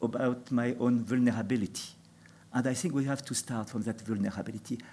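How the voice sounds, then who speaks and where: A man with a non-native accent, medium in pitch, dark and mellow in tone, at a moderate pace. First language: not English. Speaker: panel speaker. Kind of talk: panel talk. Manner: halting.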